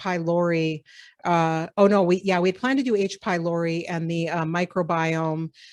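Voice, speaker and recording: With an American accent, a woman of fairly low pitch keeps a fairly even intonation in a very clean recording with a silent background and a dry, close sound with no echo. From US Upper Midwest (Minnesota and South Dakota). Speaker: professor. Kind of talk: lecture. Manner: fast.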